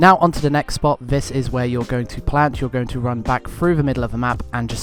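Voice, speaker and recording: Over music in the background, a man talks at a very fast pace. His pitch is medium and his intonation fairly even. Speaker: gaming tutorial creator. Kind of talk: game tutorial voiceover.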